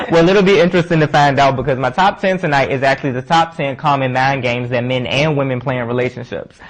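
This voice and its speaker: A fairly high-pitched man talking very fast with hardly any pauses, ordinary pitch variation and noticeable background noise. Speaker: talk show co-host. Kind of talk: casual chat.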